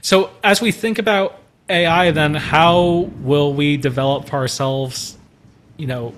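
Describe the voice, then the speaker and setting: Using a normal speaking voice, a man talks fairly slowly at a fairly high pitch with ordinary pitch variation. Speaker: church trainer on AI. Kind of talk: online training presentation.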